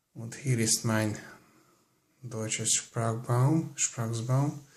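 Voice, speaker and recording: The speaker's somewhat breathy voice moves at a very slow pace with fairly even intonation. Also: man. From Hungary. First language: Hungarian. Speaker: language learner vlogger. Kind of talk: casual screen-recorded tutorial. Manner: halting, many fillers.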